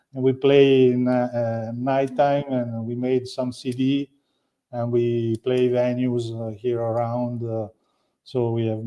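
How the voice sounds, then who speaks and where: In an Italian accent, a man speaks at medium pitch with monotone, flat intonation. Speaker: winery owner. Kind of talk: interview. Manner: halting.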